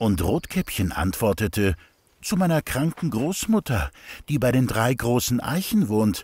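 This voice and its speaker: Speaking at a fairly slow pace, a man with a medium pitch uses very wide pitch swings and vocal fry while keeping his loudness very even. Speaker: narrator. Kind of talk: children's fairy tale narration. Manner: child-friendly storytelling.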